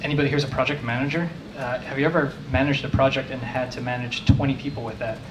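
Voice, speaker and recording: A man with an American accent at a very fast pace and fairly high pitch, amid noticeable background noise and audible room echo. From New Jersey. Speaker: tech manager. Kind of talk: conference talk. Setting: meetup talk with audience. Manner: casual.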